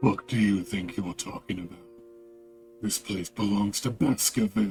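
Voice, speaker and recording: A man puts on a character voice with fairly even intonation. Faint music plays in the background. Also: fairly low pitch for a man, moderate pace. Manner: confrontational, territorial.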